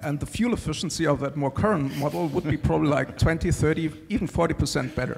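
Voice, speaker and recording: With music in the background, a man with a German accent speaks very fast in a fairly high pitch. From Germany. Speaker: panelist. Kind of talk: panel discussion.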